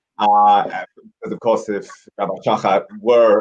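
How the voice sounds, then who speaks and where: The sound is dry and close with no echo as a man with an American accent talks at a moderate pace and a fairly low pitch. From Commonwealth country, not the US. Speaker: rabbi. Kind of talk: study conversation. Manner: hesitant fillers, conversational.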